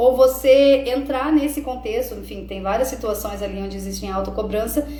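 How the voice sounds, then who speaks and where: Over noticeable background noise and audible room echo, a woman speaks at a moderate pace with big swings in loudness. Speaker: self-development coach. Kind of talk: live stream talk. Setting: live stream.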